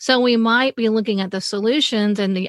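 On a very clean recording with a silent background and a dry, close sound with no echo, a woman speaks at a fairly high pitch and a moderate pace with ordinary pitch variation. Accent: Mississippi. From US South, Mississippi. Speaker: author and accountability coach. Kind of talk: casual interview.

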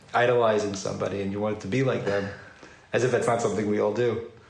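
Through noticeable background noise, a man talks at a very fast pace and a medium pitch. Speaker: podcast host. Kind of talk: casual interview.

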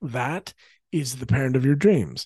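The man's voice is somewhat breathy with a dark, mellow tone, in a dry, close sound with no echo. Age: 40s. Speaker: parenting coach and podcast host. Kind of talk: promotional pitch; solo podcast teaching monologue.

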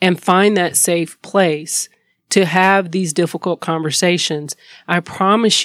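A woman speaks at a fairly slow pace with a North Carolina accent, her intonation monotone and flat, in a dry, close sound with no echo. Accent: Southern US (North Carolina). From US South, High Point, North Carolina. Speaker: lawyer, law firm owner. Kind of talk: casual interview chat.

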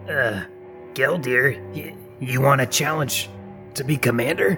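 A man's put-on character voice at a medium pitch and a fairly slow pace, with clear music in the background

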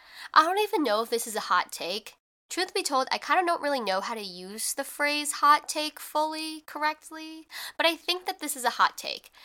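On a very clean recording with a silent background, a woman speaks at a moderate pace in a high, bright, sharp voice that is raised and projected, animated in tone, with very wide pitch swings. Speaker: podcast host. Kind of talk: casual solo podcast monologue. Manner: casual, chatty, animated.

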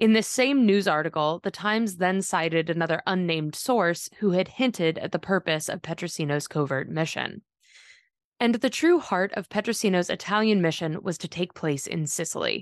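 A woman at a medium pitch and moderate pace, serious, dramatic tone, ordinary pitch variation, dry, close sound with no echo, and a quiet background. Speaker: podcast narrator. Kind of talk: true-crime narration. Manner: measured, steady storytelling pace; serious, dramatic, matter-of-fact tone.

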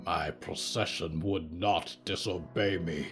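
Over clear music in the background, a man does a growling, put-on character voice with very deep, low pitch at a fairly slow pace. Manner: angry, growling.

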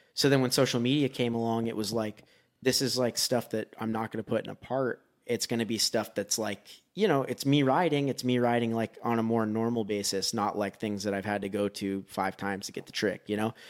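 A man with a plain, everyday voice at a medium pitch and fairly even intonation, on a very clean recording with a silent background. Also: fairly quick pace. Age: 30s. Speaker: BMX rider. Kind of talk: casual chat.

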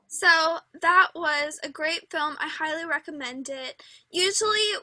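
A woman uses a raised, projected voice with a bright, sharp tone and ordinary pitch variation. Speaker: podcast host. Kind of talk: casual chat. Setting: recording at home.

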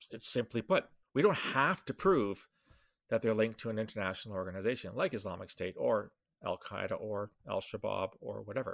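A man talks at a fairly quick clip. The recording is very clean and dry, close-miked with no echo and a silent background. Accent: Canadian. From Canada. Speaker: security consultant and podcast host. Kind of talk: solo podcast commentary. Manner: casual with fillers and laughs.

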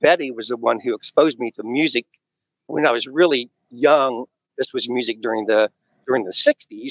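An ordinary speaking voice comes from a man with an American accent, at medium pitch with ordinary pitch variation and a moderate pace, his loudness swinging widely in a dry, close sound with no echo. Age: 50s. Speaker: live sound engineer and drummer. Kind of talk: interview.

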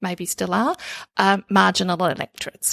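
A woman speaks at a medium pitch. The recording is very clean, with a silent background and a dry, close sound with no echo. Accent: Australian. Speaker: podcast host. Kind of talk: interview podcast. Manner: hesitant, many fillers.

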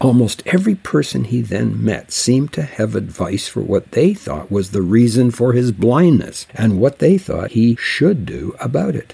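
A man's dark, mellow, somewhat breathy voice moves at a moderate pace with very wide pitch swings and hardly any pauses. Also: medium pitch for a man. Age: 70s. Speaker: Bible teacher. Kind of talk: religious radio talk.

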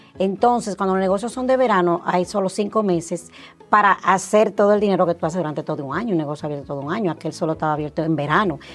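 Over music in the background, a woman talks at a very fast pace in a medium pitch with ordinary pitch variation. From Dominican Republic. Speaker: health insurance agency owner. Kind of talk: interview.

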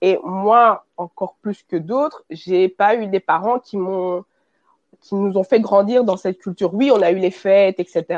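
A woman speaks at a fairly slow pace and medium pitch in a plain, everyday voice. The sound is dry and close, with no echo. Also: ordinary pitch variation. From Belgium. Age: 20s. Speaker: fashion brand founder. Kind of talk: interview.

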